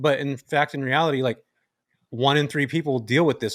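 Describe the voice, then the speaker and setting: A very fast-talking man at medium pitch, fairly even in intonation, on a very clean recording with a silent background. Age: 40s. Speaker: podcast co-host. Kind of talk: casual chat.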